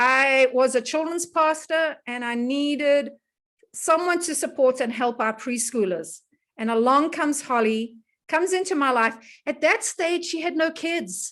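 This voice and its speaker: This speaker has a South African accent and lively intonation. The pace is fairly slow. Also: woman, high pitch for a woman. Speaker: wellness educator and host. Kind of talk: casual online presentation. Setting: video call. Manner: animated.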